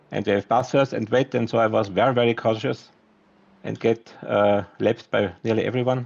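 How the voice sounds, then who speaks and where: A man with a non-native accent speaks at a moderate pace and medium pitch. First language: not English. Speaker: sim racing champion driver. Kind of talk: post-race interview. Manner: halting.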